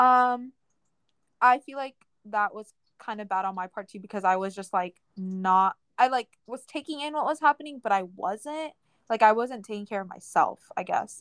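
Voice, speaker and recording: With a plain, everyday voice, a woman speaks at a fairly high pitch with lively intonation and big swings in loudness, the sound dry and close with no echo. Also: moderate pace. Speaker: podcast co-host. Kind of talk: casual chat.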